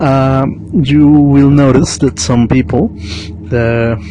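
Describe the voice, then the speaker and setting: A man with a Mexican accent talks at a medium pitch with lively intonation. Noticeable background noise is present. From Mexico. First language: Spanish. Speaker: vlogger. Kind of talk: monologue reflection. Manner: halting.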